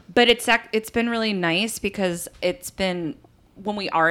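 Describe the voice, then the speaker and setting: An unremarkable speaking voice, this woman's has a medium pitch, ordinary pitch variation and a moderate pace, with an American accent. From US East Coast. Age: 40s. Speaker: podcast host. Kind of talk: casual chat.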